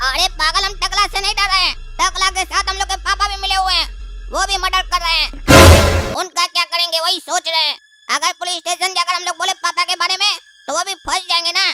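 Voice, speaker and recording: This is a cartoonish character voice. It races along at a very fast pace. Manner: insistent, scolding.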